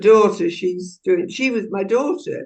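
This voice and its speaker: Her tone is dark and mellow as a woman speaks with fairly even intonation. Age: 80s+. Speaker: audience participant. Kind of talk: casual chat. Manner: halting.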